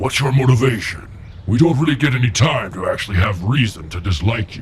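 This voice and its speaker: Over clear background noise, a man does a cartoonish character voice at a medium pitch and a fairly quick pace. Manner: calm, dry.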